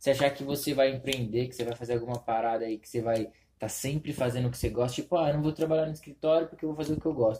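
A man's somewhat breathy voice at a very fast pace, with fairly even intonation and big swings in loudness. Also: medium pitch for a man. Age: 20s. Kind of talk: casual chat.

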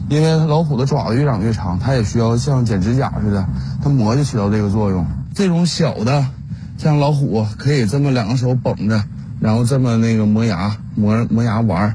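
Noticeable background noise and audible room echo surround a man speaking at a moderate pace. His medium-pitched voice holds very even loudness. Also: ordinary pitch variation. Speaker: zookeeper. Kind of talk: interview and talking to animals.

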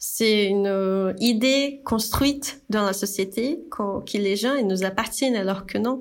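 Very slowly and at a very even loudness, a woman with a slight Brazilian accent talks in a fairly high voice with ordinary pitch variation, amid audible room echo. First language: Portuguese (speaking French). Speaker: graphic designer and brand founder. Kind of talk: casual chat. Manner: halting.

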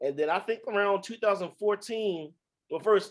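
Speaking at a moderate pace, a man has a high pitch and a Baltimore accent. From Baltimore, US. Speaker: poet and author.

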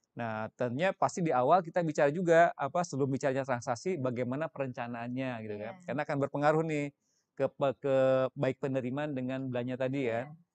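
A very fast man's voice at medium pitch with ordinary pitch variation, dry and close with no echo, over a quiet background. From West Java, Indonesia. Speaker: senior government finance official. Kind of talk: interview explanation. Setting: studio.

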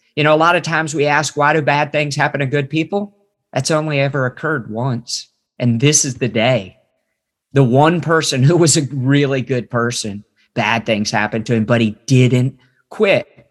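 This is a normal speaking voice with an American accent, ordinary pitch variation and a moderate pace. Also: man, fairly high pitch for a man. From West Virginia. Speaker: ministry trainer and former missionary. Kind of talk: casual interview and Bible teaching.

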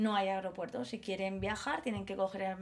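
A woman speaks at a moderate pace in a plain, everyday voice. Her pitch sits in the medium range. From Mallorca, Spain. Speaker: primary school teacher. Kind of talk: casual chat. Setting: recording at home.

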